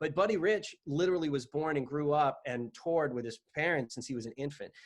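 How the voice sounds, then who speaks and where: In an unremarkable speaking voice, a man talks at a fairly quick pace, his pitch fairly high and its variation ordinary. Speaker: podcast host. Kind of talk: casual podcast conversation.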